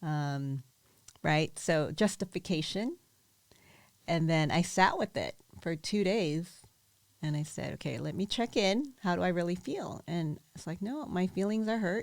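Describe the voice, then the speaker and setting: With an unremarkable speaking voice, a woman talks at a fairly slow pace in a fairly low pitch, her intonation lively. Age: 50s. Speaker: event organizer and coach. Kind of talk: casual chat.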